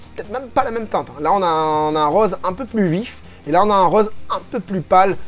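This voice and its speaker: A woman at a medium pitch with lively intonation, a moderate pace and music in the background. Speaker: figure collector youtuber. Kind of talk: video review with reading of comments. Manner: hesitant, many fillers and repetitions.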